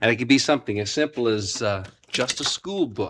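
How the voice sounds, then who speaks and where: Bright and sharp in tone, a man speaks at a moderate pace. The recording is very clean and silent behind him, with a dry, close sound and no echo. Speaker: puppeteer. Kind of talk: instructional presentation for children.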